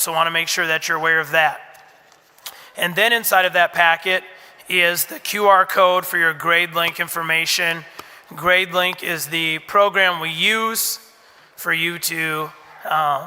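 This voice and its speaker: Against noticeable background noise, a man speaks in a monotone, flat way at a high pitch and a fairly slow pace. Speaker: school administrator. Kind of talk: orientation talk to parents.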